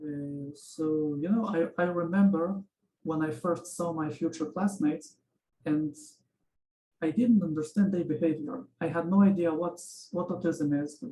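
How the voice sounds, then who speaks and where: Speaking with a Russian accent, a man uses a high pitch, a dark, mellow tone, ordinary pitch variation and a fairly slow pace. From Israel, born in Ukraine. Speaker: interviewee. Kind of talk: interview. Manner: halting.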